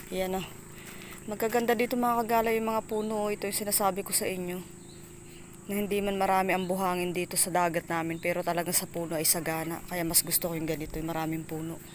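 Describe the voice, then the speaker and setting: Very fast, fairly even-toned speech from a woman with a fairly low pitch. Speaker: vlogger. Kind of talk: casual vlog narration. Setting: outdoors.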